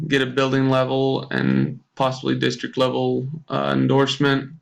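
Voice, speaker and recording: You hear a man talking. His speech carries an American accent. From US Midwest (southwest Kansas). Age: 20s. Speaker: teacher. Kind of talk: self-introduction for a course. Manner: hesitant, many fillers.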